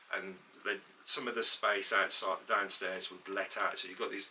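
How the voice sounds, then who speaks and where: The voice belongs to a man. Background noise is noticeable. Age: 60s. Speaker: podcast co-host, former photographer's assistant. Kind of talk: casual chat. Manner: halting.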